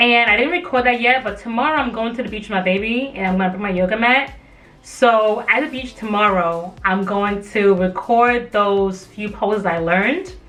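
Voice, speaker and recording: Music plays in the background and the room echo is audible. A woman speaks at a moderate pace with a fairly high pitch and ordinary pitch variation. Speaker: lifestyle vlogger and yoga teacher trainee. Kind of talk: guided yoga instruction; casual vlog talk. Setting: outdoors at the beach. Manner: loud.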